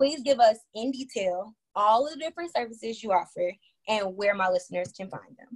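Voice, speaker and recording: A woman's normal speaking voice with an American accent, fairly high in pitch, with lively intonation, a moderate pace and big swings in loudness. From Chicago South Side. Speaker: podcast host. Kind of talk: scripted intro; casual interview.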